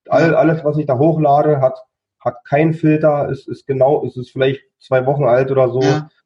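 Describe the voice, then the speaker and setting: With flat, monotone delivery, a man talks in a somewhat breathy voice. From near Berlin, Germany. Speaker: coach and chronic illness survivor. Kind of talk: interview. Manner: halting, with many repeated words.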